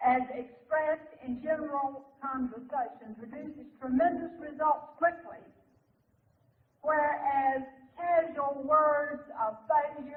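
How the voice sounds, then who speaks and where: Speaking very slowly in a Southern US accent, a woman has a high pitch and fairly even intonation. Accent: Southern American. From Southern United States. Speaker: minister and lecturer. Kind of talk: live seminar lecture. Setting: live audience.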